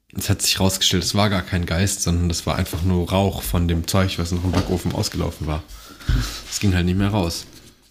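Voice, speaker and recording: A man talks at a fairly quick pace in a very deep, low pitch. His voice is somewhat breathy, with monotone, flat intonation. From Mönchengladbach, western Germany. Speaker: podcast host. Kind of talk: casual chat.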